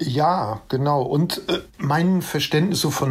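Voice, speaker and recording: A man's voice at a very slow pace with lively intonation, over noticeable background noise. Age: 50s. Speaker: music journalist and author. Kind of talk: casual interview chat.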